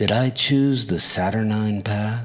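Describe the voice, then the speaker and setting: A put-on character voice moves at a fairly slow pace while faint music plays in the background. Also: man. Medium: read story. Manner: brooding, inward.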